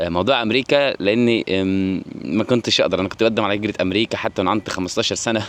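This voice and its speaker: A man talking at a fairly quick pace with fairly even intonation over noticeable background noise. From Egypt. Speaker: vlogger. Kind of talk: personal storytelling vlog. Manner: halting, frequent restarts.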